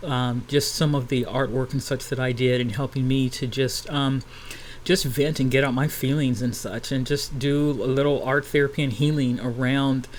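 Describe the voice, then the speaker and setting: A man of medium pitch speaks at a moderate pace with fairly even intonation. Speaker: vlogger and cartoonist. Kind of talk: casual commentary vlog. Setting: apartment at home. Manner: many fillers, halting.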